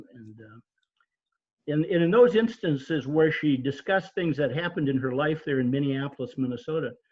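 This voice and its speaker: Somewhat breathy and fairly high in pitch, a man speaks at a fairly quick pace with lively intonation and big swings in loudness. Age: 70s. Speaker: author, military veteran. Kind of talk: club presentation. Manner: halting, many fillers.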